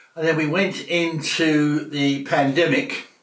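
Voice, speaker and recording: There is noticeable noise in the background. The room also adds an audible echo. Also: man. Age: 70s. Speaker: Father Christmas performer. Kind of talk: casual interview.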